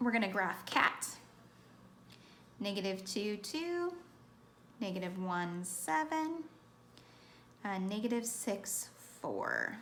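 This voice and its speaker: A woman speaks very slowly at medium pitch, with long, frequent pauses and very wide pitch swings. Room echo is audible. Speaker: math teacher. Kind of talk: tutorial. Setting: recorded lesson video for students.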